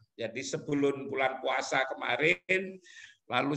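His voice is fairly high for a man, with a bright, sharp tone and ordinary pitch variation. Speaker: professor. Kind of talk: webinar talk.

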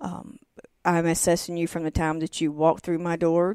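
A woman's fairly low, dark and mellow voice in a Southern US accent, fairly quick and flat in monotone. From North Carolina. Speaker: massage therapist and former nurse. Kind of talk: interview. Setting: studio.

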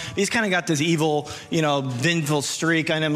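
A man talks at a very fast pace with fairly even intonation, faint music playing in the background. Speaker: preacher. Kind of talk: sermon. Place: stage. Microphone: handheld.

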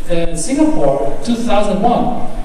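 There is light noise in the background. The room adds strong echo. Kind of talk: opening address. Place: hall. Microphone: pa.

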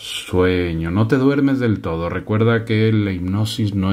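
Here a man talks quietly at a medium pitch. His tone is calm and soothing. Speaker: hypnotist. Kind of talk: guided hypnosis induction. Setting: studio, binaural 3D audio for headphones. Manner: slow, calm, soothing; slow, measured, hushed pacing with pauses. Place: home room.

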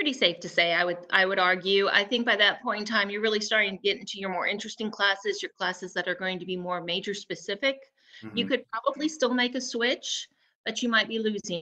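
Over a quiet background, a woman with a bright, sharp tone talks at a very fast pace. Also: ordinary pitch variation. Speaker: panelist. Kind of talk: interview answer. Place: home room. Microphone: video call.

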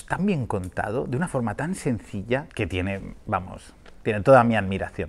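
A man speaks with lively intonation and an animated tone at a fairly quick pace. His pitch sits in the medium range. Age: 40s. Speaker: film critic. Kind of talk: film review. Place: street.

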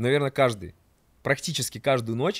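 The man's tone is animated. The background is quiet. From Rubtsovsk, Altai Krai, Russia; Altai Krai, Russia. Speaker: podcast guest, storyteller. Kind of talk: casual storytelling chat. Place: studio. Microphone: studio mic.

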